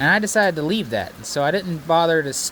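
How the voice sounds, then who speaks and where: There is noticeable background noise behind a man's voice. He talks at a moderate pace with ordinary pitch variation. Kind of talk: casual DIY narration. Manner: rambling, hesitant.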